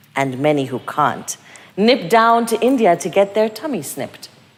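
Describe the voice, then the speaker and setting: A woman at a moderate pace, very wide pitch swings, noticeable background noise. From Kenya. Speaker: writer and performer. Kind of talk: spoken-word performance. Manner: animated.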